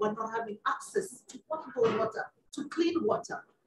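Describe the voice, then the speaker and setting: A woman at a moderate pace with lively intonation, amid noticeable background noise. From Kenya, Nairobi; Kenya. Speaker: UN climate official, panelist; panelist. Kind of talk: panel remarks. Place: hall.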